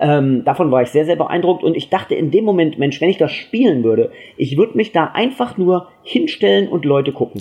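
A man's pitch swings very widely while his pace stays moderate. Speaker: TV journalist. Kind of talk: casual chat. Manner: mumbling.

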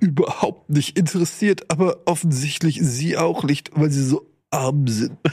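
A man's put-on character voice, nasal and fairly high-pitched, at a moderate pace. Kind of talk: comic voice imitation. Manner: arrogant, condescending.

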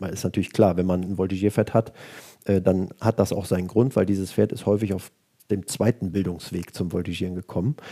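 A man speaks fairly quickly in a very deep, low voice with a dark, mellow tone and fairly even intonation. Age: 40s. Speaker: equestrian vaulting coach and former champion. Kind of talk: interview. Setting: office.

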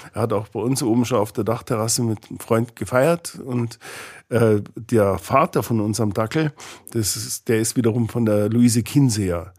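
Moderately paced, a man with a normal speaking voice talks in a medium pitch with ordinary pitch variation, in a very clean recording with a silent background. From Bavaria, Ingolstadt. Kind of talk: interview conversation.

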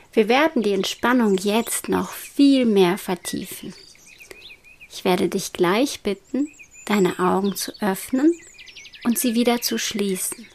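A calm, soothing tone at a very slow pace, with lively intonation, long, frequent pauses and noticeable background noise. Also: woman, medium pitch for a woman. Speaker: meditation guide. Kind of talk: guided meditation. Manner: slow, soothing and hypnotic; soft-spoken, calm, with long pauses.

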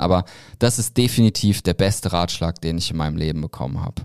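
Talking at a fairly quick pace, a man has an unremarkable speaking voice with ordinary pitch variation, recorded in a dry, close sound with no echo. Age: 30s. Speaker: founder of a creator marketing platform. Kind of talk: casual interview. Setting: studio.

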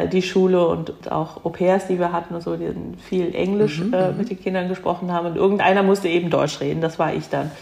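Noticeable background noise sits behind a woman's fairly low-pitched voice. Her pace is fairly quick and her intonation monotone and flat. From Germany, near Cologne. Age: 50s. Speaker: second-generation Korean German interviewee. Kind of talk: interview.

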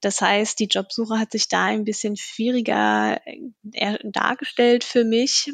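The woman talks at a very slow pace. Her voice sounds dry and close, with no echo. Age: 20s. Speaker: HR staff for interns. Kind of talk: podcast interview.

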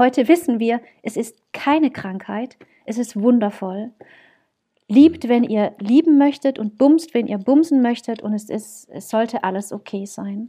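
A woman with a fairly high pitch and a dark, mellow tone talks at a fairly slow pace, with big swings in loudness. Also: ordinary pitch variation. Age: 30s. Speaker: wedding celebrant, former advertising professional. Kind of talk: casual chat. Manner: animated.

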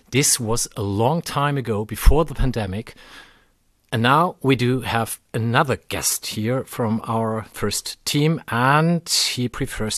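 Over a quiet background, a man with a German accent talks at a fairly slow pace and medium pitch, with ordinary pitch variation and a dry, close sound with no echo. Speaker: podcast host. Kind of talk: casual chat. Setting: recorded in a fan shop.

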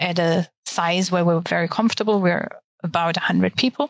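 A woman's medium-pitched voice at a moderate pace, with ordinary pitch variation and a dry, close sound with no echo. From Germany. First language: German. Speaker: architect. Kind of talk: interview.

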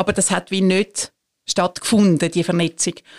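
An unremarkable speaking voice moves at a moderate pace. The recording is very clean with a silent background, and the sound is dry and close with no echo. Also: woman. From Switzerland, Zurich area. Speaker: church executive council president. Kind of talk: casual interview.

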